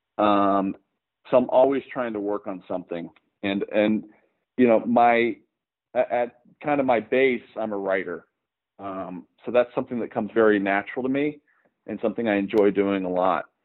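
An American-accented man speaks at a moderate pace with long, frequent pauses, his fairly low pitch showing ordinary variation. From Oklahoma, Tulsa. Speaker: writer-director. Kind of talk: interview. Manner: halting, many fillers.

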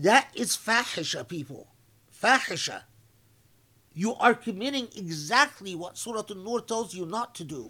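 A man's high-pitched, raised and projected voice, bright and sharp in tone, with lively intonation, big swings in loudness and a moderate pace, on a very clean recording with a silent background. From Egypt. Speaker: Islamic scholar. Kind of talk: religious lecture.

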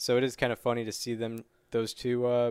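A man talks in an ordinary speaking voice at medium pitch. His pace is moderate, and the sound is dry and close with no echo. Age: 20s. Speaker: baseball podcast host. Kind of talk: casual chat.

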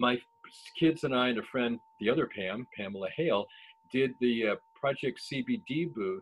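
A man speaks with an American accent at medium pitch. His intonation is lively and his pace moderate. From Ohio, Cleveland. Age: 60s. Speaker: podcast host and cannabis grower. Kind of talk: casual chat. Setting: video call.

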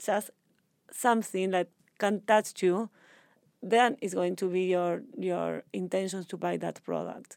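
At a fairly slow pace with long, frequent pauses, a woman with a Spanish accent speaks at medium pitch with fairly even intonation, in a dry, close sound with no echo. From Argentina. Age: 30s. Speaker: sustainable fashion entrepreneur. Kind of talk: interview. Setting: in person.

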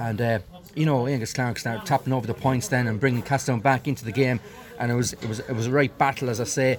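Talking very fast in a Westmeath Irish accent, a man with a medium pitch and ordinary pitch variation is heard over noticeable background noise. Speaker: hurling match analyst. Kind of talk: post-match analysis.

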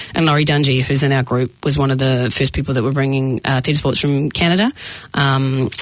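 A woman speaks with a New Zealand accent. Her pitch is very deep and low, and her pace is fairly quick. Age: 40s. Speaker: comedian and actor. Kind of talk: casual chat. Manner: animated.

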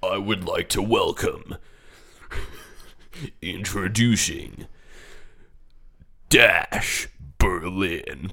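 A man in a put-on character voice talks at a very slow pace, with long, frequent pauses.

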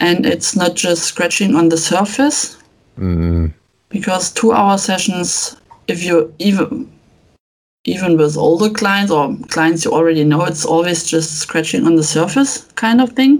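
This woman speaks with a German accent. Her pitch is fairly low, and her intonation is lively. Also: fairly slow pace. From Germany. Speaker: family photographer. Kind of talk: interview answers. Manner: halting.

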